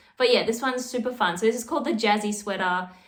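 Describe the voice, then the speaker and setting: Spoken with an Australian accent, the voice carries audible room echo. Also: woman. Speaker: knitting youtuber. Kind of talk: casual vlog. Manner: chatty, casual.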